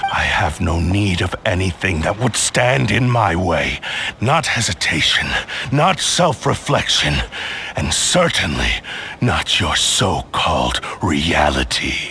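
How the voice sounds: In a put-on character voice with vocal fry, a man speaks slowly at a low pitch with big pitch swings and a bright, sharp tone, with faint background noise. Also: few pauses.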